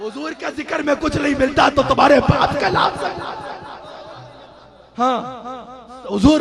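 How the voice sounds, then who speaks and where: Over noticeable background noise, a man speaks in a passionate tone at an extremely high pitch with ordinary pitch variation. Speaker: Islamic preacher / religious orator. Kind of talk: religious sermon (milad speech) to a live audience. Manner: passionate, emphatic, rhetorical.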